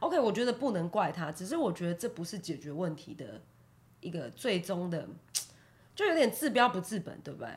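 This voice belongs to a woman. Her pitch is fairly low. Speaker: podcast co-host. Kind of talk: casual chat. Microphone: new individual microphone.

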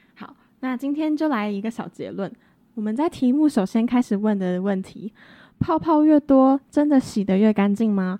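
With lively intonation and a moderate pace, a woman speaks at a fairly high pitch in a plain, everyday voice. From rural Taiwan. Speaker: podcast co-host, cosmetics student. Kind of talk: casual educational chat.

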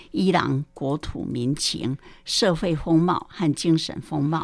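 A woman with a fairly low pitch talks at a very slow pace with lively intonation. The sound is dry and close with no echo, in a very clean recording with a silent background. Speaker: retired primary school teacher. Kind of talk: film commentary.

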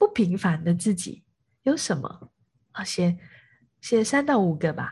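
A somewhat breathy woman at a fairly slow pace, with lively intonation and a quiet background. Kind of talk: informal lecture to a group audience. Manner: frequent filler hesitations.

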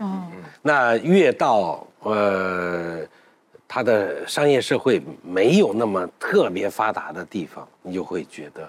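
Speaking very slowly, a man uses a fairly low voice. His pitch swings very widely and his loudness shifts a great deal. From northern Anhui (Huaibei). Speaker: food documentary maker. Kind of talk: casual roundtable chat.

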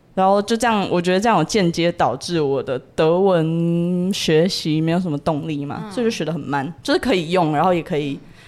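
A woman speaks in an ordinary speaking voice, pitched fairly low. Her pitch varies in an ordinary way. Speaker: university student abroad. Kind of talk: casual interview chat.

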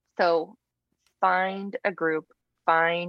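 This is a woman speaking. She has a Texan accent. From Texas Panhandle. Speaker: women's pastor. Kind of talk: interview about personal faith story.

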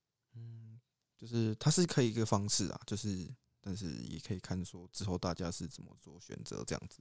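At a moderate pace, a plain, everyday voice moves with lively intonation and big swings in loudness. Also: man, fairly low pitch for a man. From Taiwan, Pingtung. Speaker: podcast co-host, university student. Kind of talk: casual chat.

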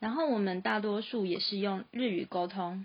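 This woman's voice has ordinary pitch variation. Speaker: freelance graphic designer and podcast host. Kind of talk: scripted narration.

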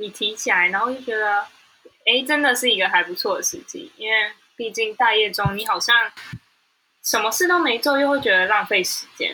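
With long, frequent pauses, a woman talks at a moderate pace, her pitch fairly high and her intonation lively. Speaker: podcast co-host. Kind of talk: casual chat.

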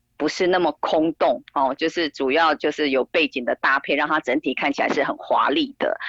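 A woman speaks at a moderate pace with hardly any pauses and very even loudness. The sound is dry and close, with no echo. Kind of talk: interview. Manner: hesitant, many fillers.

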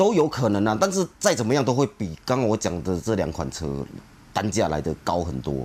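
Speaking at a fairly quick pace, a man with a fairly low pitch uses very wide pitch swings and vocal fry. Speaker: car club forum moderator. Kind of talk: casual chat. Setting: on location.

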